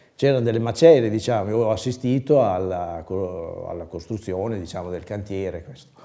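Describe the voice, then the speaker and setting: A man's dark, mellow tone at a fairly low pitch and moderate pace, with big swings in loudness over a quiet background. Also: ordinary pitch variation, hardly any pauses. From Bologna, Italy; Italy. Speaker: former amateur filmmaker. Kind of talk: personal reminiscence interview. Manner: halting, with frequent repetitions and fillers. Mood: calm, reminiscing.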